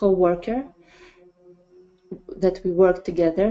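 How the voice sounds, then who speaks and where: A woman speaks with a Russian accent. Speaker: parenting project leader. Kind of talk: presentation. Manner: halting. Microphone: connection sometimes drops.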